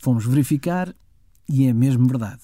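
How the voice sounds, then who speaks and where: A man with a European Portuguese accent speaks at a moderate pace in a somewhat breathy voice with a dark, mellow tone, on a very clean recording with a silent background. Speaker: podcast host. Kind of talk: scripted narration.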